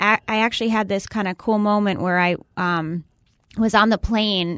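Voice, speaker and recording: An ordinary speaking voice with an American accent moves at a moderate pace with fairly even intonation, the sound dry and close with no echo and a quiet background. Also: woman. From Massachusetts. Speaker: comedian. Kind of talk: casual chat.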